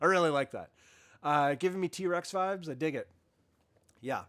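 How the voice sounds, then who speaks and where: A man is speaking. His tone is bright and sharp. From Canada. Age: 50s. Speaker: podcast host. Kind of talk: casual chat. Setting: live stream. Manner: halting.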